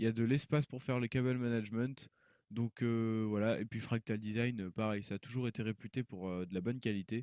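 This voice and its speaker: A man's dark, mellow tone carries fairly even intonation in a very clean recording with a silent background and a dry, close sound with no echo. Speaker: tech YouTuber, PC hardware reviewer. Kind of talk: tutorial. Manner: hesitant, many fillers.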